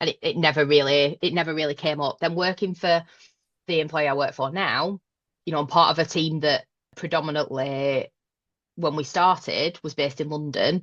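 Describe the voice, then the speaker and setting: A woman with a Northern English accent speaks at a moderate pace in a very deep, low pitch against a quiet background. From northern England, Northwest. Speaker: manager. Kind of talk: podcast interview.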